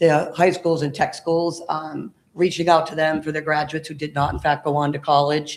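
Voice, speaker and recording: A man's fairly high, monotone, flat voice at a moderate pace with hardly any pauses. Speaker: workforce training program leader. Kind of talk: panel discussion. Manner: loud.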